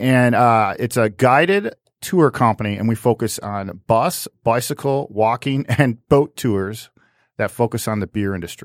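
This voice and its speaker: A man with a normal speaking voice talks at a medium pitch and a fairly slow pace, with ordinary pitch variation. The very clean recording has a silent background and a dry, close sound with no echo. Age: 40s. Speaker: brewery tour company owner. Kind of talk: casual interview chat. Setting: studio.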